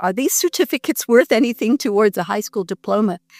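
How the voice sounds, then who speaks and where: A woman with a Canadian accent speaks at a fairly quick pace in a fairly high pitch. The sound is dry and close with no echo, on a very clean recording with a silent background. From Canada. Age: 60s. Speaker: pastor. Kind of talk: interview, life story. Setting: at home. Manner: animated.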